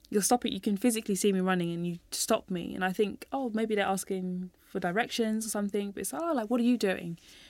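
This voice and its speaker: Someone talks at a very fast pace in a London accent. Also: woman, very clean recording, silent background. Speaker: running coach and youth mentor. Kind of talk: podcast interview. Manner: animated.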